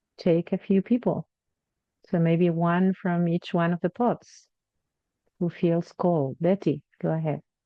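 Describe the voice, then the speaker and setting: A woman with a Spanish accent, fairly low in pitch, with fairly even intonation. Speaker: online event facilitator. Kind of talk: event facilitation. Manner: halting.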